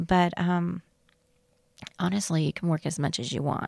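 A woman speaks in a Southern US accent at a fairly low pitch, with fairly even intonation. The sound is dry and close with no echo, and the recording is very clean over a silent background. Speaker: flight attendant. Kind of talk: interview.

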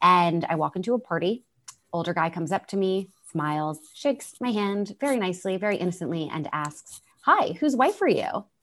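Her lively intonation and fairly quick pace carry an ordinary speaking voice, as a woman talks at medium pitch. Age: 30s. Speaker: entrepreneur, co-founder of a women's career community. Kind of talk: interview.

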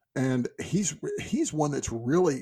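A man speaks in a somewhat breathy voice. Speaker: podcast co-host discussing fantasy books. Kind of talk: casual chat. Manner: fast.

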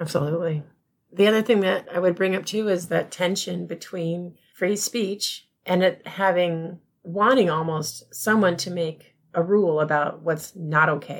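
A woman with an ordinary speaking voice talks at a fairly low pitch. Her intonation stays fairly even. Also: fairly slow pace. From US, moved around (army family). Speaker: librarian. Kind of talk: casual chat.

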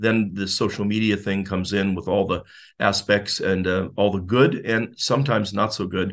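A man's fairly low, monotone, flat voice with an American accent against a quiet background. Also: moderate pace. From US Midwest, northeastern Ohio. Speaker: volunteer mentor, retiree. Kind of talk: interview.

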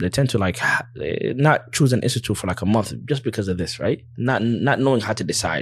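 With an American accent and ordinary pitch variation, a man talks at a fairly quick pace against noticeable background noise. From USA. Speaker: Islamic teacher who studied abroad. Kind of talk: casual interview chat.

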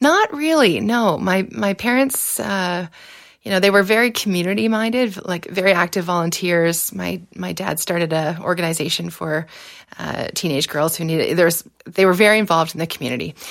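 A woman with a Canadian accent and an unremarkable speaking voice, fairly low in pitch, at a moderate pace with lively intonation. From southwestern Ontario, Canada. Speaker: political scientist and former election candidate. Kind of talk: interview.

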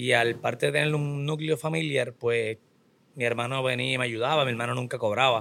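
A man with a bright, sharp tone speaks at a medium pitch and fairly quick pace with lively intonation. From Puerto Rico. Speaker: business owner and trainer. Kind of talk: interview.

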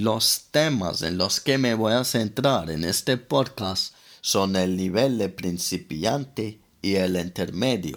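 On a very clean recording with a silent background, a man with a fairly low pitch speaks at a very slow pace with lively intonation. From London, England. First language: English (speaking Spanish). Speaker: language teacher podcaster. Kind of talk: language lesson.

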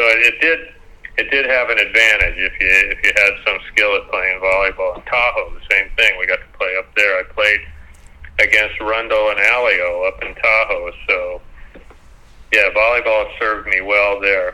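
Noticeable background noise sits behind a man with an American accent. He talks at a moderate pace. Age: 70s. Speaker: former beach volleyball player. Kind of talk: interview. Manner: halting.

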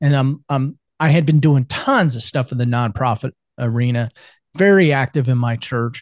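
A man's unremarkable speaking voice with an American accent, medium pitch and ordinary pitch variation, at a moderate pace, in a dry, close sound with no echo. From US Midwest, central Iowa. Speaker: business consultant and men's coach. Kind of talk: casual interview chat.

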